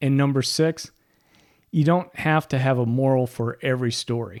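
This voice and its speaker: Very clean audio sits on a silent background. At a moderate pace and with fairly even intonation, the delivery is a normal speaking voice. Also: man. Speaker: podcast host. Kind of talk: podcast talk, storytelling tips.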